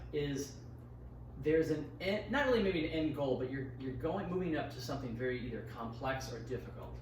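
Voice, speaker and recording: A man's fairly quick speech at medium pitch, with audible room echo and noticeable background noise. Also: ordinary pitch variation. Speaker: personal trainer. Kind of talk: casual chat. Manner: loud.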